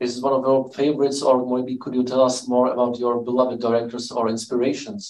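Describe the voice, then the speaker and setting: A man speaks with a Czech accent and fairly even intonation. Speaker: event host. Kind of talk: moderated Q&A. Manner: halting.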